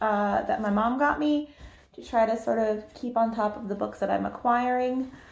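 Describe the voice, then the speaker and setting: A woman with an American accent speaks at a fairly high pitch, with audible room echo. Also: ordinary pitch variation, moderate pace. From US South. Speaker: book youtuber. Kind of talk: casual chat.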